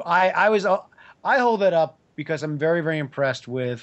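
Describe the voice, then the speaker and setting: A man with an American accent and a relaxed tone speaks at a moderate pace, his fairly high pitch moving in very wide swings. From New York. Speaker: comic book writer. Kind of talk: casual chat. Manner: relaxed, joking.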